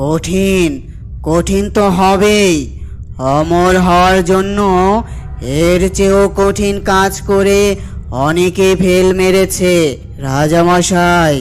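A man uses a cartoonish character voice with a high pitch at a very slow pace. Clear background noise can be heard. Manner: solemn, deliberate.

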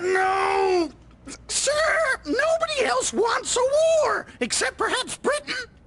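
Shouting at an extremely high pitch, the voice moves through very wide pitch swings. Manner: excitable, loud.

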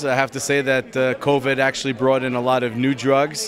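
The pace is fairly quick. The pitch shows little movement. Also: man.

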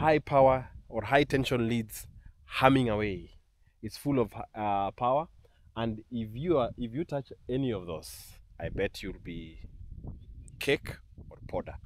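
A man speaks with ordinary pitch variation and long, frequent pauses, his voice dry with no echo. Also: fairly slow pace. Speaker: travel vlogger. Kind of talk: casual vlog chat. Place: open country. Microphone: phone near.

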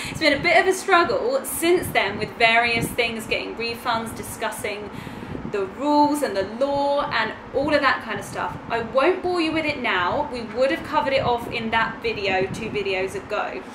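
A woman's high voice at a moderate pace amid noticeable background noise. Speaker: travel vlogger. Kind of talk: casual vlog chat. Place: home room. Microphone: camera far.

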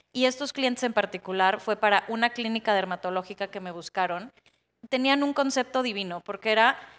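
A woman has an ordinary speaking voice, pitched fairly high with ordinary pitch variation. She talks at a fairly quick pace. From Baja California, Mexico. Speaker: interior designer, panelist; panelist. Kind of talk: panel discussion on stage. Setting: conference stage with audience. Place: stage. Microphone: handheld.

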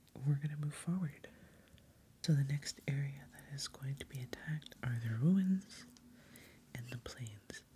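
The speaker is soft-spoken and relaxed, going at a fairly slow pace with long, frequent pauses over light background noise. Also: woman. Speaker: ASMR host and board game player; ASMR host. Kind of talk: soft-spoken ASMR board game playthrough. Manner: soft-spoken, casual, relaxed. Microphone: studio mic.

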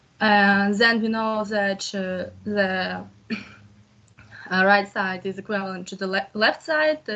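With fairly even intonation, a woman talks very slowly. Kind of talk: explaining a solution in class. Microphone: video call.

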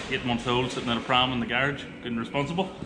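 A man talks at a very fast pace over noticeable background noise. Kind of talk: casual vlog chat. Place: garage. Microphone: phone near.

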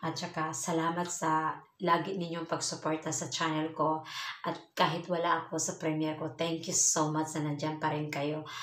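With audible room echo, a woman speaks at a moderate pace in a very deep, low, monotone voice with flat intonation. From Philippines. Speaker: vlogger, overseas Filipino worker; vlogger. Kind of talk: casual vlog talk to viewers. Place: home room. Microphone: phone near.

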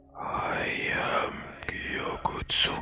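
A man puts on a raspy character voice with a hissing sound. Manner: menacing.

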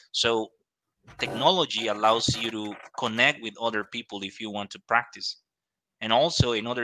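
A bright, sharp tone with a Spanish accent over a quiet background. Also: man. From Costa Rica. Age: 20s. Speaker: English teacher. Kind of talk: casual advice talk. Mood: encouraging, motivational. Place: studio. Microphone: studio mic.

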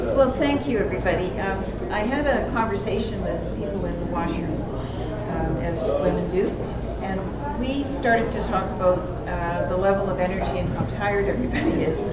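A woman at a moderate pace over loud background noise. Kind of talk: conference session introduction. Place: hall.

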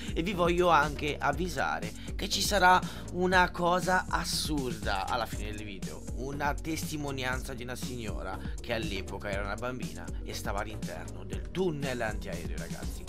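Clear music plays in the background. A man speaks at a moderate pace. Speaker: youtuber. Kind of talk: casual vlog chat. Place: home room. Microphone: studio mic.

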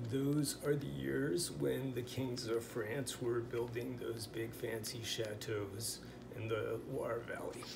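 A man with an American accent speaks at a very slow pace with ordinary pitch variation amid noticeable background noise. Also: medium pitch for a man. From US Pacific Northwest. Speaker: language teacher. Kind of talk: tutorial. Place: home room. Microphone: phone near.

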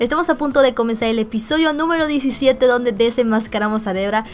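A woman at a very fast pace, with ordinary pitch variation and light background noise. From Mexico. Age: 20s. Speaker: gaming youtuber. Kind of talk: casual talk to camera. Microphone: webcam.

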